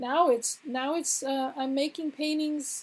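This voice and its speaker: A woman's high-pitched voice. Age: 60s. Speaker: spiritual teacher and painter. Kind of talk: casual conversation. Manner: halting, many fillers.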